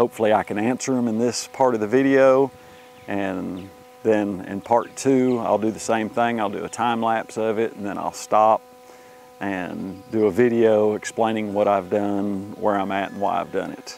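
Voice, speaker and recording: An ordinary speaking voice from a man, fairly low in pitch, at a moderate pace with fairly even intonation, dry sound with no echo, and light background noise. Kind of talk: casual vlog chat. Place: open country.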